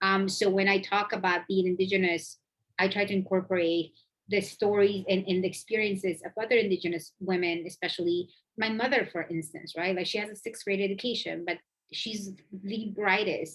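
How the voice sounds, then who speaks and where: A woman's medium-pitched voice with a Spanish accent, fairly quick and fairly even in intonation. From Mexico, Oaxaca. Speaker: immigration lawyer. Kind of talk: panel Q&A answer.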